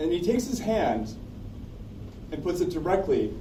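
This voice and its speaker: With noticeable background noise and audible room echo, a man speaks at a moderate pace. His pitch is high. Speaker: open mic storyteller. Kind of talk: personal storytelling.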